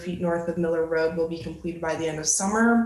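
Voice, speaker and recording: Against noticeable background noise, a woman with an American accent speaks in a fairly low voice. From Ann Arbor, Michigan. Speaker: graduate student presenter. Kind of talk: presentation.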